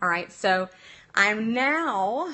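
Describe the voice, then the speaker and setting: Her intonation rises and falls in a lively way. She is a woman speaking. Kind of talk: live stream talk to viewers. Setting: phone on tripod at home. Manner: fast.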